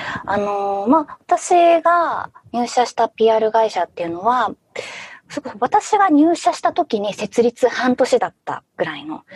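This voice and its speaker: In a dry, close recording with no echo, a woman speaks slowly at a high pitch, with very wide pitch swings and big swings in loudness. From Fukushima, Japan. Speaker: PR manager, former voice actress. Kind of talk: casual interview.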